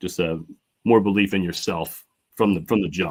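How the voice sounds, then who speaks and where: Here a man speaks. His intonation stays fairly even. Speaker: artist. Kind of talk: interview. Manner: halting, many false starts.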